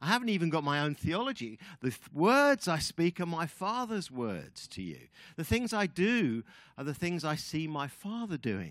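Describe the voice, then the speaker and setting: On a very clean recording with a silent background, a man with an English accent speaks at a moderate pace, his high pitch swinging very widely. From England. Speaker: guest preacher. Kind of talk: sermon.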